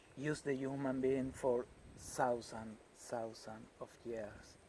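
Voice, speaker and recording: At a very slow pace, a man with a Spanish accent speaks in a medium pitch with fairly even intonation. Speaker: healer and natural products maker. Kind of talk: interview answers. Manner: halting, non-fluent English.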